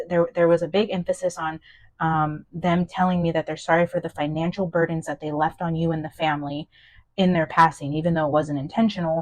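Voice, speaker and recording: Over a quiet background, a woman talks at a fairly quick pace in a fairly low, monotone, flat voice. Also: dry, close sound with no echo. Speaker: tarot reader. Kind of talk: channeled tarot reading. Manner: fast; hesitant, many fillers and restarts.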